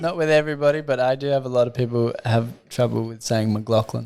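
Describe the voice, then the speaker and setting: With an Australian accent, the speaker talks at a fairly quick pace and with fairly even intonation. Noticeable background noise can be heard. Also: man. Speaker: podcast host. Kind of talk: casual chat.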